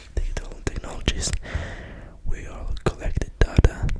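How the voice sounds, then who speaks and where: Someone whispers over noticeable background noise. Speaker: ASMR creator. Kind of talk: ASMR book reading. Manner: whispered, soft-spoken.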